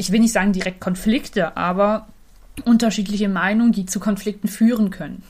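A woman speaks at a medium pitch, somewhat breathy, with fairly even intonation. The recording is very clean, with a silent background. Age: 20s. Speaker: podcast co-host, cosplayer. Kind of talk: casual chat.

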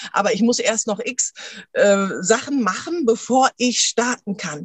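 A woman's voice, an ordinary speaking voice, fairly high in pitch. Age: 30s. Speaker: coach for mothers. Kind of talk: interview.

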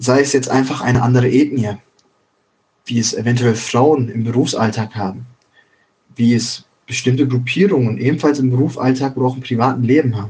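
At a fairly quick pace broken by long, frequent pauses, a man speaks at a medium pitch, somewhat breathy and with fairly even intonation. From Ruhr area, Germany (Schwerte, Dortmund, Bochum). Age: 20s. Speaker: podcaster. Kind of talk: casual monologue.

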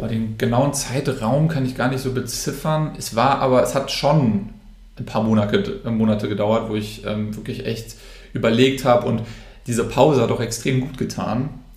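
Moderate pace and ordinary pitch variation from a man of medium pitch, with audible room echo. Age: 20s. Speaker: social media influencer. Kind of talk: interview.

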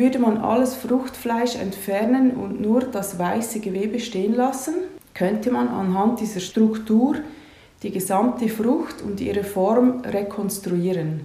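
A woman speaks at a fairly high pitch. Noticeable background noise and audible room echo surround her voice. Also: ordinary pitch variation, fairly slow pace. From Switzerland, Lucerne area. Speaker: massage therapist and fascia trainer. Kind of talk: interview with prepared answers.

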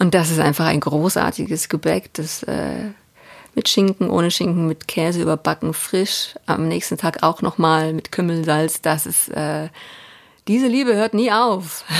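In a plain, everyday voice, a woman speaks at a fairly slow pace with a fairly low pitch and ordinary pitch variation. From Swabia, Biberach. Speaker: TV news presenter. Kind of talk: interview conversation. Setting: remote recording from home.

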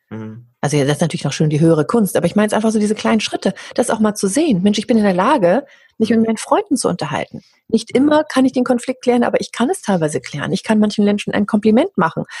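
A woman's very fast, dark and mellow voice with vocal fry and very wide pitch swings. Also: fairly high pitch for a woman. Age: 40s. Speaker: voice coach and singer. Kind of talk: interview conversation.

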